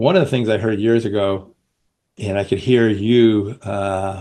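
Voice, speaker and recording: Against a quiet background, a man with a New Jersey accent talks at a moderate pace, his fairly low pitch showing ordinary variation. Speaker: podcast host. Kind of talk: interview.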